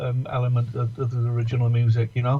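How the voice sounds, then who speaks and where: A man with an English accent. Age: 60s. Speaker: musician. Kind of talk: casual chat. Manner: halting.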